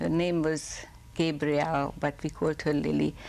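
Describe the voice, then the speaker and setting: A woman speaks with a Hungarian accent. Her pace is fairly slow. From Hungary. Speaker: Holocaust survivor. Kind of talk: oral history interview.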